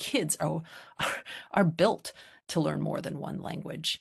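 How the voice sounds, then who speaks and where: Speaking at a moderate pace, a woman with an American accent is heard against a quiet background. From US. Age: middle-aged. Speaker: psychology professor. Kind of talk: lecture. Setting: video call. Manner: halting. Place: home room. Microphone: video call.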